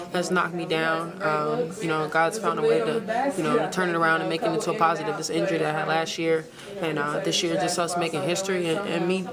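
Someone talks at a very fast pace against loud background noise. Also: woman, ordinary pitch variation. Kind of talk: interview answer. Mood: reflective after season-ending loss. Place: hall. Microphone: phone near.

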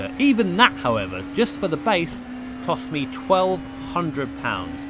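A man speaks with a British accent at a very slow pace. There is noticeable background noise. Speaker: sim racing video creator. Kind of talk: product review talk. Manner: casual, self-deprecating.

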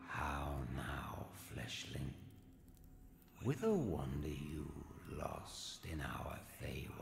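A man puts on a character voice with a very deep, low pitch, moving at a very slow pace with long, frequent pauses and a slight echo around him. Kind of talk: fancy archaic speech. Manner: theatrical, mocking.

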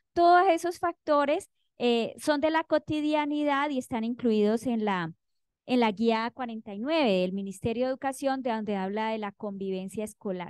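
A woman with an ordinary speaking voice, fairly high in pitch, with lively intonation at a fairly slow pace, in a dry, close sound with no echo against a quiet background. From Colombia, Cauca. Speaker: university professor. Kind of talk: academic presentation.

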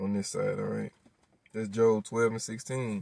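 A man speaks at a moderate pace with ordinary pitch variation. The recording is dry with no echo and a quiet background. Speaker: religious commentator. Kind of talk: sermon. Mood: earnest preaching tone. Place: car. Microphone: phone near.

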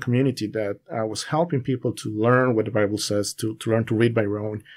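In a very clean recording with a silent background, a man speaks with a Spanish accent. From Bolivia, La Paz. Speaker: Bible student sharing testimony. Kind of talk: casual interview.

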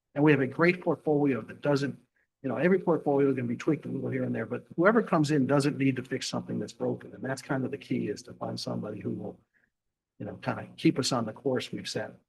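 This man talks very quickly. The volume of his voice rises and falls sharply. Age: 70s. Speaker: investment fund manager. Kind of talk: board meeting presentation.

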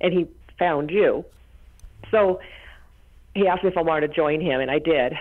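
A woman speaks at a fairly quick pace in a fairly low pitch with ordinary pitch variation. She leaves long, frequent pauses. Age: 50s. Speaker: caller. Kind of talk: call-in question. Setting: phone call.

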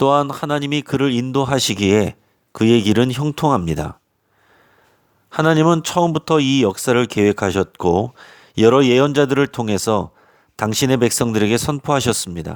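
On a very clean recording with a silent background, a man in an ordinary speaking voice talks at a moderate pace and medium pitch, with lively intonation and very even loudness. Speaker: pastor. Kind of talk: sermon.

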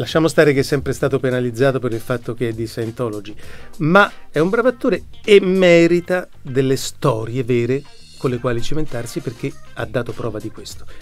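Faint music sits in the background while a man talks at a fairly quick pace. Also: lively intonation. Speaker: voice actor. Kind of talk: interview answer. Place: studio. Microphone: studio mic.

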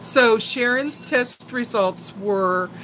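Light background noise accompanies a woman. She speaks very slowly with ordinary pitch variation. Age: 60s. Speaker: YouTuber. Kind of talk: live stream chat. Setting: home live stream. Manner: animated. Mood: chatty, gossipy, concerned. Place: home room. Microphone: phone near.

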